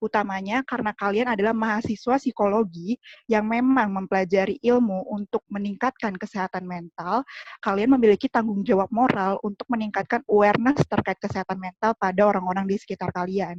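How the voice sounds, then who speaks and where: A woman talks at a fairly quick pace with hardly any pauses, her medium pitch carried in fairly even intonation. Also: dry, close sound with no echo. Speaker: student union chair. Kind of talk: formal welcome speech. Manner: formal, with hesitations.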